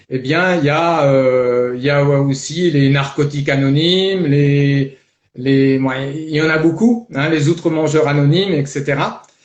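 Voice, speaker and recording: Audible room echo surrounds a man speaking at a fairly slow pace. His fairly high voice keeps a fairly even intonation. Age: 60s. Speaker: life coach. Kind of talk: testimony. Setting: live video stream. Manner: hesitant, many fillers.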